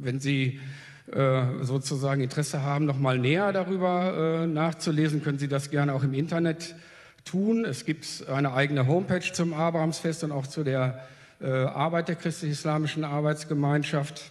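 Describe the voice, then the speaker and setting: A man with an ordinary speaking voice talks at a moderate pace and fairly high pitch, with fairly even intonation and very even loudness. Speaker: festival organizer. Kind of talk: panel statement.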